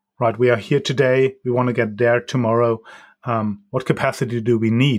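With a German accent, a man speaks at a moderate pace and medium pitch with fairly even intonation on a very clean recording with a silent background. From Germany. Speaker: data governance consultant. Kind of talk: interview. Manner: halting, many ums.

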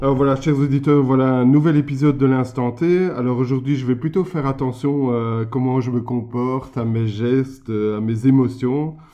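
Using a plain, everyday voice, a man talks at medium pitch and a moderate pace with fairly even intonation and hardly any pauses. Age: 50s. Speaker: podcast host and entrepreneur. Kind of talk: interview.

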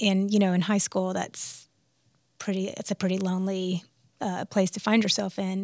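Recorded very cleanly against a silent background, a plain, everyday voice speaks with an American accent. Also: woman. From US South, Alabama. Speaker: musician. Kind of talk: interview conversation. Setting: studio.

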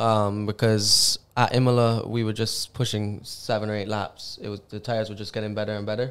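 Monotone, flat intonation carries this fairly quick speech. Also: man, fairly low pitch for a man. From Barbados. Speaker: racing driver. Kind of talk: casual interview.

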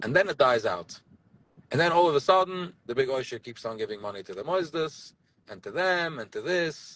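A man with an American accent talks in a fairly high pitch at a fairly quick pace. His tone is animated, with lively intonation and big swings in loudness. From US Northeast, Borough Park, Brooklyn. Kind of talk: casual chat.

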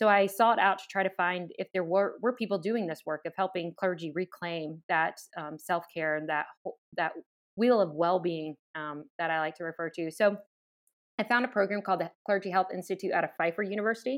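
Fairly quick speech comes from a woman of medium pitch. Her pitch varies an ordinary amount. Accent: American. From US South, southeast Virginia (Chesapeake). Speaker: pastor. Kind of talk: interview conversation.

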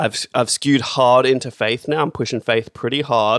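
A man with an Australian accent speaks at medium pitch and a fairly quick pace. His intonation is monotone and flat, and the sound is dry and close with no echo. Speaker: podcast host. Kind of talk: casual banter.

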